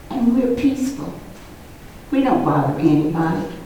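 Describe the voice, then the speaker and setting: A woman is speaking in a space with audible room echo. Noticeable background noise sits behind her voice. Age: 80s+. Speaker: resident addressing council. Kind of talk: public comment.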